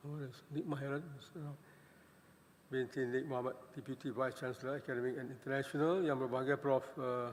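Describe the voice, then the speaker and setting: A man speaks fairly quickly at a medium pitch, with monotone, flat intonation. Long, frequent pauses break up his speech. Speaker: president of a scientific society. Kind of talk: welcoming speech. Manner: halting, many fillers.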